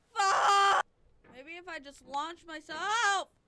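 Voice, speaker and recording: A woman's raised, projected voice with an extremely high pitch and a bright, sharp tone moves very slowly with ordinary pitch variation, in a dry sound with no echo over light background noise. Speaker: gaming youtuber. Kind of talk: gameplay commentary. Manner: animated; loud screaming at times. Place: home room.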